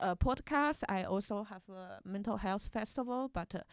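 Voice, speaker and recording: A woman with a Chinese accent, fairly high-pitched and fairly slow, on a very clean recording with a silent background. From China. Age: 30s. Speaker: podcast host and panel moderator. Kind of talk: live panel discussion. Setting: stage with live audience. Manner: halting, many fillers.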